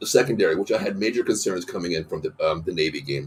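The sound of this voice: A man speaks at a fairly quick pace with ordinary pitch variation and a slightly husky edge.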